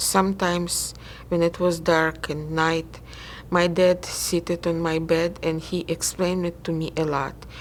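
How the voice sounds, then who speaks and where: Speaking at a fairly slow pace, a woman with a Russian accent uses a fairly low pitch. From Ukraine. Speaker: interviewee. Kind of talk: oral history interview. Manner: halting.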